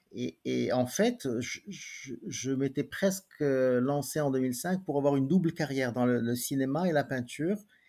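A man with a fairly high pitch talks at a fairly slow pace, with ordinary pitch variation and hardly any pauses. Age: 50s. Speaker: painter. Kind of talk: interview. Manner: halting, frequent repetitions.

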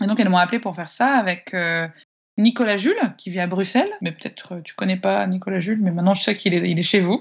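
A woman does the talking. There is a somewhat breathy quality to her voice. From France, Annecy. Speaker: singer-songwriter. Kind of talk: interview.

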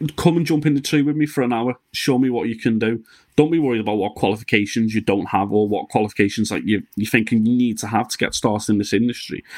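On a very clean recording with a silent background, a man at medium pitch talks very fast with ordinary pitch variation and hardly any pauses. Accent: Liverpool. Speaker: podcast host. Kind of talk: casual interview chat with sponsor reads.

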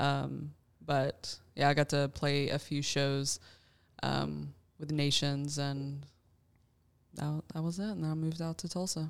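A woman with a Southern US accent speaks at a fairly slow pace, her pitch very deep and low. She leaves long, frequent pauses and keeps her intonation fairly even. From Alabama. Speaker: church worship leader and bassist. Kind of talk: casual round-table chat.

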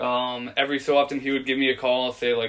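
Talking at a very fast pace, a man with an American accent keeps to a medium pitch. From Virginia. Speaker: navy hospital corpsman. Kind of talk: casual interview.

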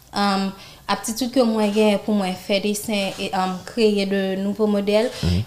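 This is a woman speaking at a medium pitch. Noticeable background noise can be heard. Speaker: fashion designer and entrepreneur. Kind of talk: interview.

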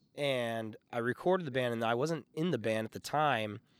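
At a moderate pace, a man talks at medium pitch in a normal speaking voice, with ordinary pitch variation. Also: very clean recording, silent background. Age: 30s. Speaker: audio engineer and musician. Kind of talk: casual chat.

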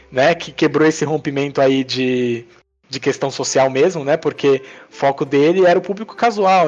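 His pitch fairly high with ordinary variation, the man talks in a normal speaking voice. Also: moderate pace. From Brazil, Northeast (Princesa Isabel, Paraíba). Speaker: mobile game developer and entrepreneur. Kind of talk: casual chat. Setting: remote recording.

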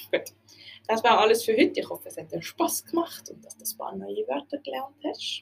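At a moderate pace, the speaker talks in a Basel-Land accent. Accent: Swiss German, Basel-Land dialect. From Switzerland, Basel-Land region. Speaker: language teacher podcaster. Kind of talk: educational podcast monologue.

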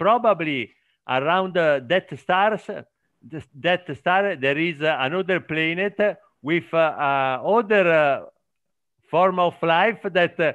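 Against a quiet background, a man speaks very slowly with an Italian accent. His voice is high-pitched. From Italy. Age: 50s. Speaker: production manager. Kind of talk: casual conversation practice. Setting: video call. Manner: halting, searching for words.

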